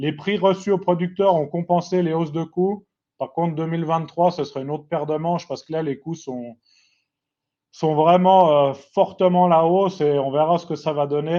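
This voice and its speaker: A high-pitched man with a Swiss accent at a moderate pace, fairly even intonation and big swings in loudness. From Switzerland, Geneva region. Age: 30s. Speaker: farmer. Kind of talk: webinar presentation. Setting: online webinar.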